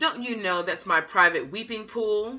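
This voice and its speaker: Someone performs a put-on character voice with a fairly high pitch. The pace is moderate. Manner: angry.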